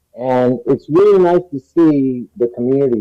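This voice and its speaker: A man talks at a moderate pace. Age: 60s. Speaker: cannabis activist. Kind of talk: public forum speech. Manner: animated.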